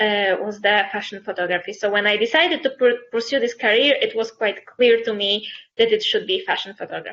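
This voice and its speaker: A woman with a Polish accent talks at a fairly quick pace in a fairly high pitch, with hardly any pauses. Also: ordinary pitch variation. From Poland. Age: 20s. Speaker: fashion photographer. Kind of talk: interview.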